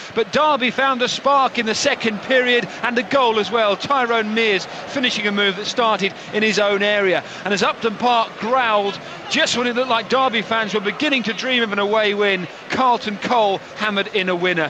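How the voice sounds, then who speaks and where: A man with a high pitch uses a raised, projected voice at a fairly quick pace, his intonation fairly even over noticeable background noise. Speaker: sports reporter. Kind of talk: match report.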